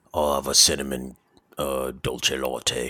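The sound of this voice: In a British accent, a put-on character voice drones at a fairly slow pace with monotone, flat intonation. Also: man, very deep, low pitch for a man.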